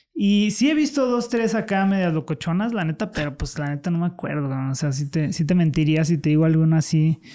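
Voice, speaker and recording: Fairly quick and with hardly any pauses, a man talks in a high pitch with a dark, mellow tone and lively intonation. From Mexico, León (Guanajuato). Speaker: TikTok content creator. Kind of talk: casual interview chat.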